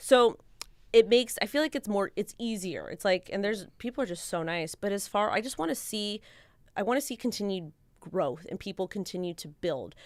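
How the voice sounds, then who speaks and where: A woman with a Californian accent speaks at a fairly quick pace in an animated tone, her intonation lively and her loudness swinging widely. The recording is very clean, with a silent background. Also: medium pitch for a woman. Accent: Californian American English. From Los Angeles County, California. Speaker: crypto and NFT content creator. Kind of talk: casual panel chat on live stream.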